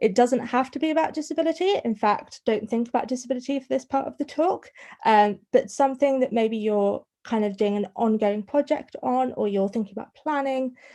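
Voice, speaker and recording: Here a woman speaks fairly quickly with a northern English accent. Her voice is high-pitched, with a dark, mellow tone. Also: ordinary pitch variation. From northern England. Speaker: students' union welfare officer. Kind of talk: online talk to students' union officers. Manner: fast; stuttering on some words.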